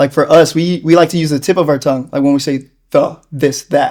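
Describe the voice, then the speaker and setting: A man with an American accent speaks with a fairly high pitch and a dark, mellow tone. His intonation stays fairly even. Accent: Americanized way of speaking. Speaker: interviewee. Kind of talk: casual interview. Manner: chatty.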